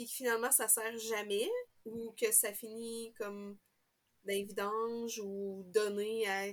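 The speaker has a Quebec accent and talks at a very slow pace. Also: woman. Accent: Québécois French. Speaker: knitting podcaster. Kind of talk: casual chat.

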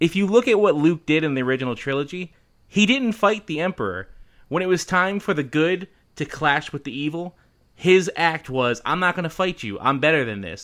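In an American accent, a man with fairly high pitch speaks at a fairly quick pace using lively intonation. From Philadelphia, US. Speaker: podcast co-host. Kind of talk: casual chat. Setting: remote recording with microphone.

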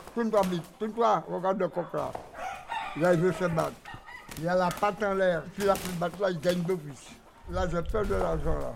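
A man speaks in a high pitch with ordinary pitch variation. Long, frequent pauses break up his speech against noticeable background noise. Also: moderate pace. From French Antilles. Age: 80s+. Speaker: cockfighting breeder. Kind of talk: casual interview.

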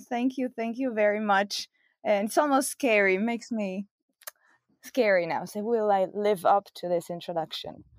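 Moderate pace and ordinary pitch variation in an Italian accent, with a dry, close sound with no echo and a very clean recording on a silent background. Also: woman. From Italy. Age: 40s. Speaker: science communicator and podcaster. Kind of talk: interview conversation.

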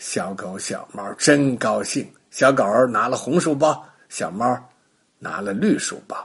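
A man speaks at a fairly slow pace with a husky, rough edge, vocal fry and lively intonation. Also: medium pitch for a man.

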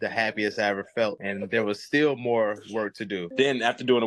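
Using a plain, everyday voice, a man with an American accent talks at a fairly quick pace, medium in pitch with ordinary pitch variation. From US Midwest, South Side of Chicago. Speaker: military veteran and business owner. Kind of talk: casual interview chat. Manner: relaxed, slangy and profane.

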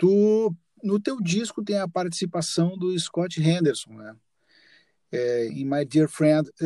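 A man's high-pitched, dark, mellow voice with lively intonation, a very slow pace, long, frequent pauses and big swings in loudness, in a dry, close sound with no echo. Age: 50s. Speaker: podcast host and musician. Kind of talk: casual interview chat.

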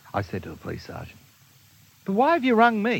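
A man speaks with an Australian accent. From Australia, Melbourne. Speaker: minister. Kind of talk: storytelling.

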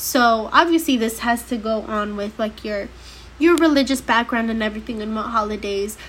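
Noticeable background noise sits behind the clip. A woman talks in an animated tone at a moderate pace. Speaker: podcast host. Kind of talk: casual monologue.

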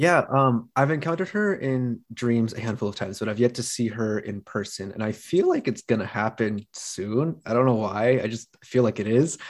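An unremarkable speaking voice from a man, medium in pitch with ordinary variation, at a moderate pace with hardly any pauses, against a quiet background. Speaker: podcast host. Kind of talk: casual chat.

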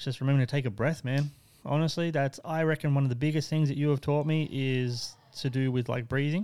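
This man speaks with an Australian accent. His voice is fairly high in pitch, with a dark, mellow tone. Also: fairly even intonation. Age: 30s. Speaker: tattoo shop owner. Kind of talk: casual chat. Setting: tattoo studio.

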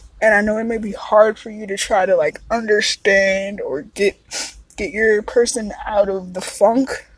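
Fairly slow speech with fairly even intonation and big swings in loudness sits over noticeable background noise. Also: woman, fairly high pitch for a woman. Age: 30s. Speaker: podcast host. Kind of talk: casual solo monologue. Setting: outdoors in a park.

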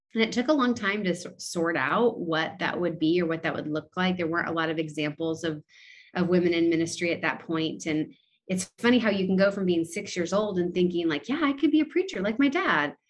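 The speaker has an unremarkable speaking voice and an American accent. The delivery is fairly quick with lively intonation. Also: woman, fairly low pitch for a woman. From California, US. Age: 30s. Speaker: pastor. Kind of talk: casual interview conversation.

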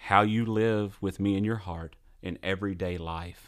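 Fairly low in pitch, this man has an ordinary speaking voice and fairly even intonation. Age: 40s. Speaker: logistics business owner, podcast co-host. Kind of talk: casual chat.

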